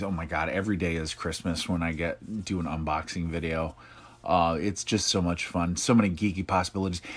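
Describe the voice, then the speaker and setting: At a moderate pace, a man talks with very deep, low pitch and ordinary pitch variation. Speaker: live stream host. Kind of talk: casual live chat. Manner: louder and higher than usual. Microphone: laptop.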